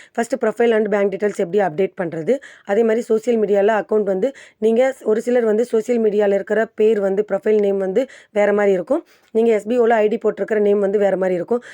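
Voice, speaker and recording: Recorded dry and close with no echo, a woman with a dark, mellow tone and a fairly high pitch speaks with fairly even intonation and very even loudness. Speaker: YouTube tutorial creator. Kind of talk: tutorial. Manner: casual, conversational.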